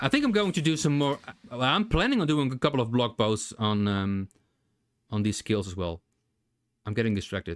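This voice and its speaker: A man with a non-native accent talks at a fairly quick pace, with lively intonation and long, frequent pauses. The very clean recording has a silent background and a dry, close sound with no echo. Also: medium pitch for a man. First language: not English. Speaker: game developer streamer. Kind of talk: live coding stream. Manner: halting.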